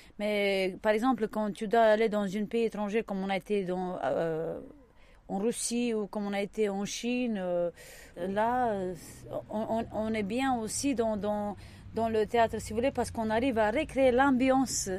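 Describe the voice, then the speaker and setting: At a very slow pace, a woman with a fairly high pitch and a dark, mellow tone speaks with fairly even intonation. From Romania, Romani. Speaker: circus performer. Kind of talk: interview.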